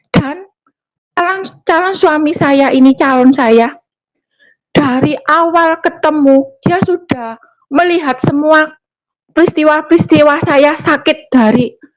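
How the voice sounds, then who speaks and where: A woman speaks at a very slow pace with a high pitch and ordinary pitch variation. Her loudness stays very even. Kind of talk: testimony. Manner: halting, many fillers.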